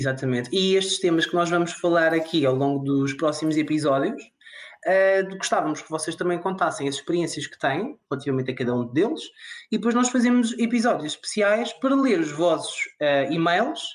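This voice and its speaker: A man's high voice with lively intonation at a moderate pace. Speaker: podcast co-host. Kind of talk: casual chat.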